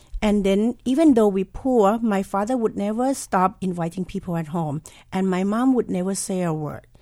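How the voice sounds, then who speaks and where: With a Thai accent, a woman talks in a medium pitch with a dark, mellow tone. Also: ordinary pitch variation, moderate pace. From southern Thailand. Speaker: chef and restaurant owner. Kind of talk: interview.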